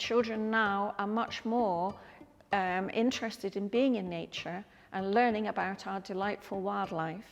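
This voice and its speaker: Over music in the background, a woman with a medium-pitched voice speaks at a fairly slow pace with fairly even intonation. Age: 70s. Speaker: artist and teacher. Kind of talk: museum talk. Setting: museum.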